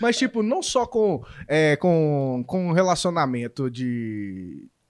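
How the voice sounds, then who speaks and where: On a very clean recording with a silent background, a man with a fairly high pitch speaks with very wide pitch swings. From Minas Gerais, Brazil. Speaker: YouTuber interviewer. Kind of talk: casual chat. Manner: animated.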